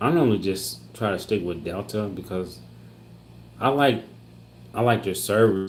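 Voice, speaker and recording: With an American accent, a man speaks in a room with audible echo. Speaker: family vlogger. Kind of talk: live stream Q&A reading chat. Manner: halting.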